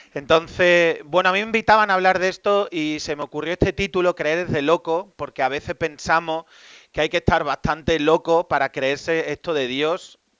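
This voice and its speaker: With an Extremaduran accent, a man with a fairly high pitch talks at a moderate pace with ordinary pitch variation. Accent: Extremaduran Spanish, noticeable. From Spain, Extremadura (Badajoz). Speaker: Jesuit priest and psychologist. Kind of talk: talk to a live audience.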